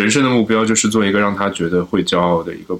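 Through noticeable background noise, a man with a fairly low pitch talks at a very fast pace. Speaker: podcast guest. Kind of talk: casual chat.

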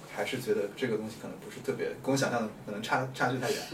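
This man talks very fast at a medium pitch, his intonation lively. Audible room echo and noticeable background noise sit behind him. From Hunan, China. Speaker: urban planner and landscape designer. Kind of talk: casual chat.

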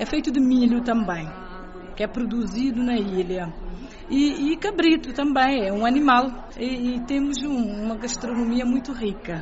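A woman with a high voice speaks fairly slowly with ordinary pitch variation, amid audible room echo and noticeable background noise. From Cape Verde, Fogo island. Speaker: presidential press officer. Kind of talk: radio interview.

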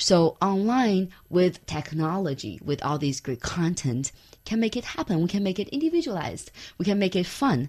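With a Chinese accent, this speaker talks at a moderate pace using lively intonation. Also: woman, fairly low pitch for a woman. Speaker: startup founder and CEO. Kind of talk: interview.

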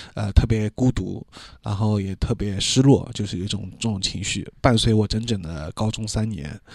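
The recording is very clean, with a silent background. The speaking pace is fairly slow. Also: man. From Shanghai (urban). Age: 30s. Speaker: podcast host. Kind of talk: solo personal monologue. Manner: halting with many filler sounds.

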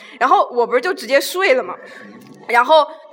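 Over noticeable background noise, a woman talks very fast at a high pitch with lively intonation. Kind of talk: casual chat.

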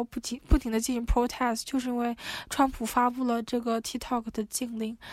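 A woman speaks in a high voice. Her intonation is flat and monotone. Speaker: PhD student. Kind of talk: casual chat.

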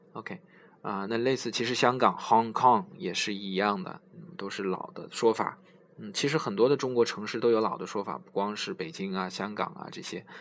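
A man's lively intonation at a medium pitch, with big swings in loudness and a moderate pace. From China. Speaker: English learning podcast host. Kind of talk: tutorial. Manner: halting, many filler sounds.

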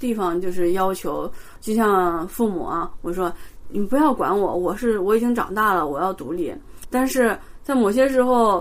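Speaking at a moderate pace with lively intonation, a woman at a medium pitch is heard with audible room echo. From China, Xi'an. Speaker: postdoctoral chemistry researcher. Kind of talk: interview.

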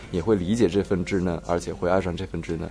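A man's very deep, low voice with a dark, mellow tone, fairly even intonation and a very fast pace. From Shaanxi, China. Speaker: author. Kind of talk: casual chat.

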